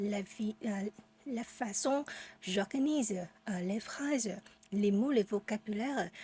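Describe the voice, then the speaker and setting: Speaking very slowly with a Vietnamese accent, a woman uses a fairly high, somewhat breathy voice with a dark, mellow tone and ordinary pitch variation. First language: Vietnamese (speaking French). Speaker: French learner vlogger. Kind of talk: casual unscripted monologue. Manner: halting, many hesitations.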